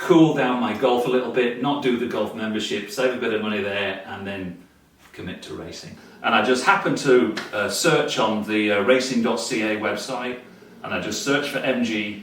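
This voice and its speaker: Audible room echo and noticeable background noise surround a man speaking with a British accent. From Britain (Yorkshire). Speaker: amateur vintage racer. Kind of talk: casual interview. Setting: home garage. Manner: halting, many fillers.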